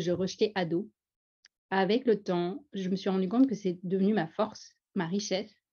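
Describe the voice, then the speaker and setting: Speaking in a strong Parisian accent at a moderate pace, a woman has a medium pitch and a somewhat breathy, dark, mellow tone. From France, Paris suburbs, teen years in Pondicherry. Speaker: former doctor, speaker on Franco-Indian identity. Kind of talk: personal testimony at a panel. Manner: animated.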